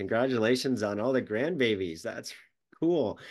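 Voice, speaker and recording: A plain, everyday voice with an American accent, lively intonation and a fairly quick pace against a quiet background. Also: man. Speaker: podcast host and business coach. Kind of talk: casual interview.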